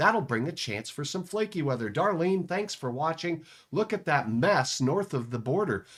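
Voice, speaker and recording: On a very clean recording with a silent background, a man with a fairly high voice speaks at a moderate pace, his pitch swinging very widely. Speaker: meteorologist. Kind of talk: live weather forecast. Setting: home studio.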